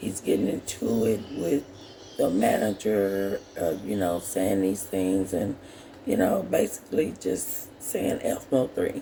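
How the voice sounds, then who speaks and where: Speech delivered at a very slow pace over noticeable background noise. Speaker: commentary channel host. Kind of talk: casual talk to camera.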